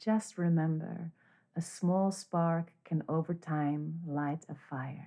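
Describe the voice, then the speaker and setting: A woman's very deep, low voice with a dark, mellow tone, calm and soothing, at a very slow pace with fairly even intonation, on a very clean recording with a silent background. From Netherlands. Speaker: life coach and meditation guide. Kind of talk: guided meditation. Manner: slow, calm, soothing.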